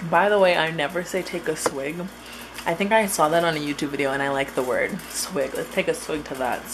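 Noticeable background noise sits under a woman speaking at a fairly quick pace, her fairly low voice showing ordinary pitch variation. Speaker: vlogger. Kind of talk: casual vlog chat. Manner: loose, slurred tipsy rambling. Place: kitchen. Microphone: phone near.

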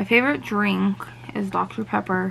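A woman speaks at a medium pitch with vocal fry. Her pace is fairly slow and her intonation fairly even.

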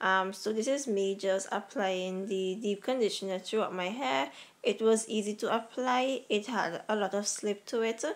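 An unremarkable speaking voice moves at a fairly slow pace with ordinary pitch variation, recorded very cleanly against a silent background. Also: woman. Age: 20s. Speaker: natural hair vlogger. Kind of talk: casual voice-over tutorial.

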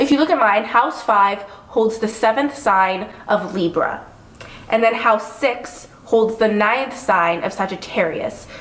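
At a fairly slow pace and very even loudness, a woman with a fairly high pitch talks over noticeable background noise. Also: ordinary pitch variation. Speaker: astrology YouTuber. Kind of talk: casual chat.

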